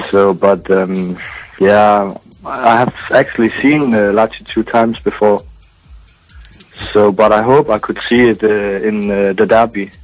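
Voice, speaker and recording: Over background music, a man with a fairly low pitch speaks fairly slowly and evenly, leaving long, frequent pauses. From Denmark. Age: 20s. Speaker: caller. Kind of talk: phone-in chat. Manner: halting.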